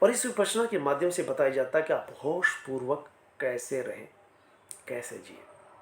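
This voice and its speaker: A man's voice with big swings in loudness over noticeable background noise. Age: 60s. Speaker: motivational speaker. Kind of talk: motivational talk.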